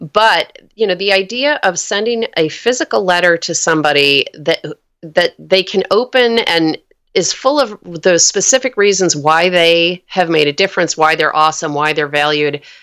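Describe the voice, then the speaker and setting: In an American accent, a normal speaking voice moves at a moderate pace with lively intonation and very even loudness, the sound dry and close with no echo. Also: woman, fairly low pitch for a woman. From New York. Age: 50s. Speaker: author and podcaster. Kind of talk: interview.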